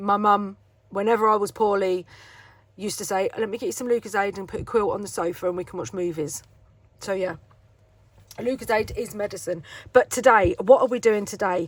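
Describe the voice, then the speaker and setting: With a British accent, a woman talks at a fairly quick pace, pausing long and often. Her pitch varies in an ordinary way while her loudness swings widely. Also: medium pitch for a woman. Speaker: craft YouTuber. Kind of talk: tutorial.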